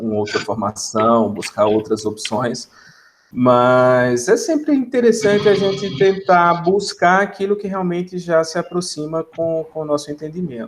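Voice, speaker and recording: Speaking in a Pernambuco accent, a high-pitched man talks at a fairly slow pace with very wide pitch swings. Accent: Pernambuco (northeastern Brazilian). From Brazil, Pernambuco interior (Salgueiro). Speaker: biomedical scientist, academic. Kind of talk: casual podcast interview. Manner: hesitant, repeats words.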